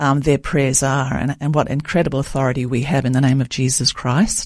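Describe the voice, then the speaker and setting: In an Australian accent, a woman speaks at a moderate pace with a very deep, low pitch. The recording is very clean, with a silent background. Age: 70s. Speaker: author. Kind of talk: interview. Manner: halting, many fillers.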